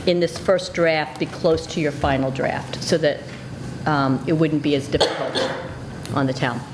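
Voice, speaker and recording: With an American accent, a woman speaks at a moderate pace in a very deep, low voice with fairly even intonation, long and frequent pauses, noticeable background noise and audible room echo. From South Jersey, US. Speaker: school administrator. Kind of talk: committee meeting presentation. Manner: hesitant fillers.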